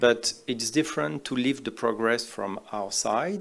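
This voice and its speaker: In a very clean recording with a silent background, a man with a French accent speaks fairly slowly at a medium pitch, with ordinary pitch variation. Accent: typical French. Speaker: oncologist. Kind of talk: conference talk. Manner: simple, hesitant English.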